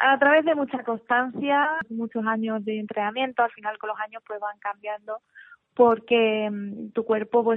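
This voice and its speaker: A woman speaks in an ordinary speaking voice, her pitch fairly high. She talks at a moderate pace. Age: 30s. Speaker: paralympic weightlifter. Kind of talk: radio interview. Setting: live radio.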